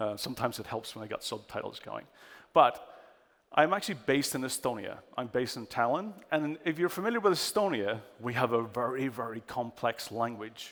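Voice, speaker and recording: A man with a strong Irish accent speaks at a fairly quick pace. His pitch is medium and his intonation lively. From Ireland. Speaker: cyber security expert. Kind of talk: conference talk. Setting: stage with audience.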